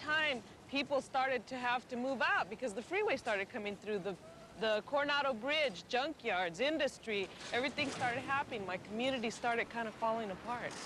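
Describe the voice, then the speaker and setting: A man's extremely high voice, projected and raised, with lively intonation at a fairly quick pace, in an American accent, over noticeable background noise. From San Diego, California (Logan Heights). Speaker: community member interviewee. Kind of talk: documentary interview.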